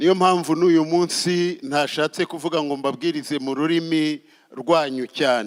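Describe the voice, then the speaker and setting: Very slow speech from a man at a fairly high pitch, with fairly even intonation. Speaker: pastor. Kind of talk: sermon.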